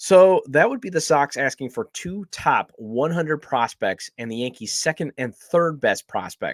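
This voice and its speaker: A man shouts loudly at a fairly high pitch with very wide pitch swings and hardly any pauses. The recording is very clean, with a silent background. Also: dry, close sound with no echo. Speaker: sports podcast host. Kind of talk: podcast monologue on baseball. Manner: loud, may sound like shouting; hesitant with frequent fillers.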